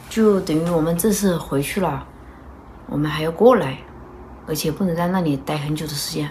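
A woman with a fairly low pitch and a somewhat breathy voice speaks at a moderate pace, her pitch varying in an ordinary way. Long, frequent pauses break up her speech over light background noise. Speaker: vlogger mother. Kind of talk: casual vlog chat. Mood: calm, thoughtful planning talk. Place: home room. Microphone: phone near.

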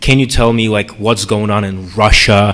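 Fairly low in pitch, a man speaks in a plain, everyday voice. His intonation stays fairly even. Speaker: panelist. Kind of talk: lecture. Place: hall. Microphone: podium.

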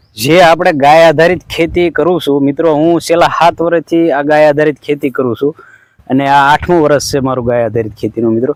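With fairly even intonation, a plain, everyday voice comes through in a dry, close sound with no echo. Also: man. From Gujarat, Saurashtra (Rajkot district). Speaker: organic farmer and video blogger. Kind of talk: casual vlog narration.

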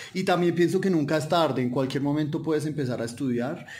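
Noticeable background noise and audible room echo fill the recording. A man talks at a fairly high pitch with ordinary pitch variation. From Colombia. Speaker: polyglot, development worker. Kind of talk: podcast interview. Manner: hesitant with many fillers.

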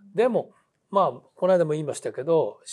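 The setting has a quiet background. A man's speech proceeds at a moderate pace. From Japan, Hitachi (Ibaraki); Ibaraki, Japan. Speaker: theatre director and teacher; teacher. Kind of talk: interview conversation. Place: studio.

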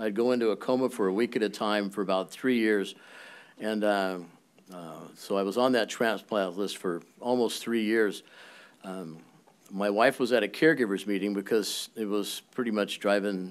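A man speaks at a moderate pace in a fairly low pitch, with fairly even intonation. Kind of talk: personal testimony at a public meeting. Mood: earnest, personal story. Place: hall. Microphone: podium.

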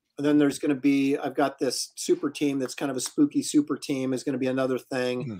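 A man talks at a very fast pace with hardly any pauses, in an American accent. His tone is dark and mellow, and his intonation is monotone and flat. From US Pacific Northwest. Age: 50s. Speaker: comic book artist and live show host; comic book artist, live show host. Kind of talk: casual chat and interview. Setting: live video stream. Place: home room.

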